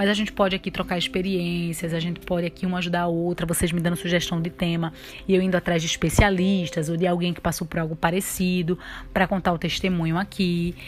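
At a very fast pace, a woman with a fairly low pitch speaks in monotone, flat intonation. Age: 20s. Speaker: podcast host, new mother. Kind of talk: casual monologue. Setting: at home with baby. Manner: occasional baby talk voice.

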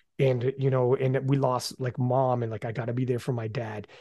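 A somewhat breathy man with a dark, mellow tone, fairly even intonation and a moderate pace. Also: quiet background. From Canada. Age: 40s. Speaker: podcast host. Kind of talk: casual chat.

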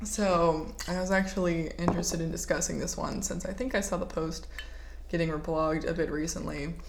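The talking runs fairly quick, with noticeable background noise in the mix. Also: woman. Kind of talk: casual chat.

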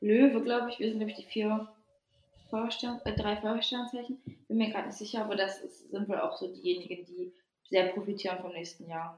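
A woman's fairly high, fairly quick voice, a normal speaking voice. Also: ordinary pitch variation. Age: 20s. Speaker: podcast co-host. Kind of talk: casual chat.

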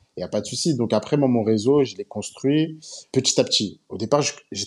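At a fairly quick pace with ordinary pitch variation, this is a normal speaking voice. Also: man. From Paris suburbs, France. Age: 20s. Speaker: telecom engineer. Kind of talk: casual chat.

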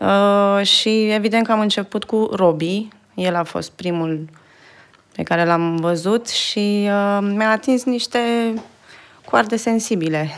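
A woman's medium-pitched voice at a very slow pace, with ordinary pitch variation and long, frequent pauses. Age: 30s. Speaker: video editor. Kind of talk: interview. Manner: halting.

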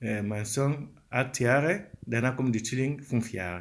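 With a non-native accent, a man speaks at medium pitch in a bright, sharp tone. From Africa. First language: not German (speaking German). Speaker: father of four. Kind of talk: interview statement. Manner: halting.

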